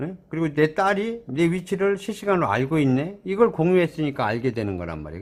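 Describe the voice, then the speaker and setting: Speaking at a fairly quick pace, a man's fairly high voice moves through very wide pitch swings. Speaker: shop owner demonstrating products. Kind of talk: product tutorial. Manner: casual, repetitive.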